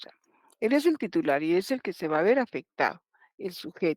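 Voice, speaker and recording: A woman's voice shows vocal fry and very wide pitch swings. The recording is very clean, with a silent background. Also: dry, close sound with no echo. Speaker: law professor. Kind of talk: lecture.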